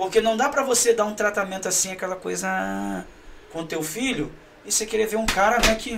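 Over noticeable background noise, a man with a high voice speaks at a fairly quick pace with ordinary pitch variation. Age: 40s. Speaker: pastor. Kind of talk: casual chat.

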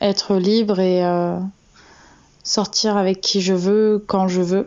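Here is a woman with a medium pitch. Her intonation stays fairly even. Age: 20s. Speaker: listener sending a voice message. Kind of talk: recorded voice testimony.

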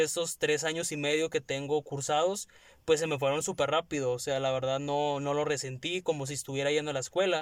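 Against a silent background in a very clean recording, a man speaks at a fairly quick pace with a fairly high pitch and monotone, flat intonation. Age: 20s. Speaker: podcast co-host, communication student. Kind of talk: casual chat.

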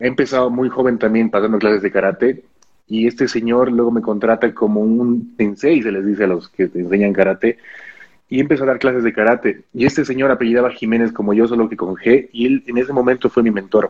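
A man with a normal speaking voice talks fairly quickly, his pitch medium and his intonation fairly even. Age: 20s. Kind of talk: interview.

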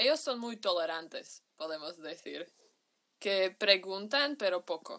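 A woman with a Slovak accent talks at a very slow pace and a medium pitch. Her intonation is lively, and her loudness swings widely. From Slovakia, Bratislava. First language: Slovak (speaking Spanish). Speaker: university student. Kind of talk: interview testimony. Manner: halting.

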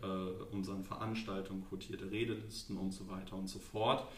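Against noticeable background noise and audible room echo, a man talks at a moderate pace in a fairly low pitch with monotone, flat intonation. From Lower Saxony, Germany. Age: 20s. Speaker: local politics candidate and student. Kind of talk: podcast interview. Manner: hesitant, many fillers.

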